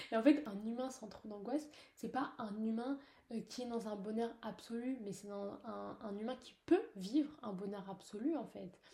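Fairly high and somewhat breathy, a woman's voice moves at a fairly slow pace with ordinary pitch variation and big swings in loudness. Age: young. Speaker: podcaster. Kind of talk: personal monologue. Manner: hesitant, many fillers. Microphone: poor recording.

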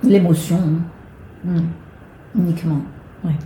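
Audible room echo accompanies a woman speaking at a fairly low pitch. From Marseille, southern France. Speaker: actress and singer. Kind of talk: interview.

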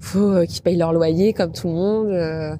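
Noticeable background noise sits behind this woman's fairly low voice. Her intonation stays fairly even. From Normandy, France (Rouen). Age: 30s. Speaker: travel and food content creator. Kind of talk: interview.

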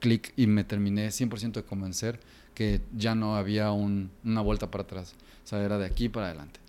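Fairly low in pitch with a dark, mellow tone, a man speaks in a Jalisco accent with monotone, flat intonation. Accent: Mexican Spanish, Jalisco. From Mexico, Guadalajara (Jalisco). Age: 30s. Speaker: designer and kombucha entrepreneur. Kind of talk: interview conversation.

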